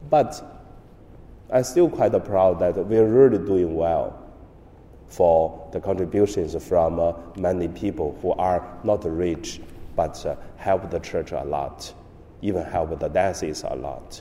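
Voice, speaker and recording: At a very slow pace, the speaker uses a dark, mellow tone with ordinary pitch variation and a Chinese accent. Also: man, very deep, low pitch for a man. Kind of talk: homily.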